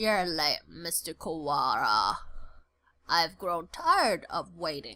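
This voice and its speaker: Using a put-on character voice at medium pitch, a woman talks at a fairly slow pace. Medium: game stream. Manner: cold, detached.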